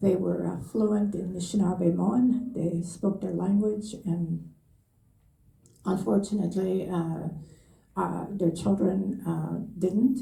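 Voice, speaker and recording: A woman's medium-pitched, dark, mellow voice with vocal fry, at a very slow pace, with audible room echo. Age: 80s+. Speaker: elder. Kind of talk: panel testimony. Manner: halting, many fillers.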